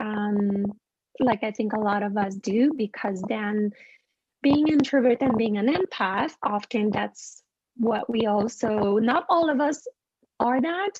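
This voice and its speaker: A woman's fairly high voice in a French Canadian accent, with lively intonation. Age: 40s. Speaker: animal communicator. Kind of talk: interview storytelling.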